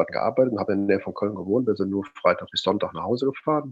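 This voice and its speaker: Pitch stays at a medium level with ordinary variation as this man talks. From Rhineland, near Cologne. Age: 50s. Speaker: mindset and motivation coach. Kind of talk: interview.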